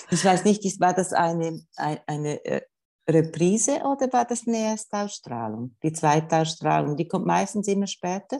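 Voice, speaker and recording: A woman with a fairly low pitch and a dark, mellow tone swings her pitch very widely. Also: moderate pace. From Switzerland, canton Schwyz. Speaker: gender equality official. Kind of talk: interview.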